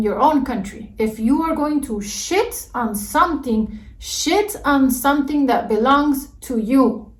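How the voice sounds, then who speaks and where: Speaking very slowly with a Mexican accent, a woman uses a high pitch and ordinary pitch variation, with audible room echo around her. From Mexico. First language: Spanish. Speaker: YouTuber. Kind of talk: reaction video rant. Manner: animated.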